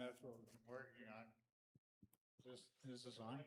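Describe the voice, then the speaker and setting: A man speaks at a medium pitch, his voice carrying audible room echo. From Netherlands. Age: 80s+. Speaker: church member. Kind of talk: question at congregational meeting.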